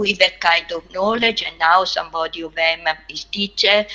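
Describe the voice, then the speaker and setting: A woman with an Italian accent speaks at a fairly slow pace and a medium pitch, her bright, sharp tone carrying fairly even intonation. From Italy. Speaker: anthropologist. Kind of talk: webinar talk. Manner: halting.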